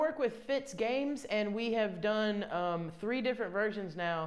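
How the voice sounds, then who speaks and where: A woman with a Southern US accent speaks at a moderate pace with lively intonation. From US South, Columbia, South Carolina. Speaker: comedian. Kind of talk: casual interview chat; live stream chat. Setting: bathtub live stream. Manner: animated.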